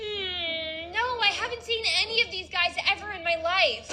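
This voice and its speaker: Using a put-on character voice, a woman swings widely in loudness at a moderate pace, with clear background noise behind her. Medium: machinima. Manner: earnest, folksy.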